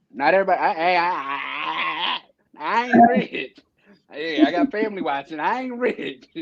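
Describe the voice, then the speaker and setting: This man has an American accent and a high pitch, with very wide pitch swings. His pace is moderate. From Maryland, USA. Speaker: Army soldier, corporal. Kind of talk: interview answer. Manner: casual, humorous.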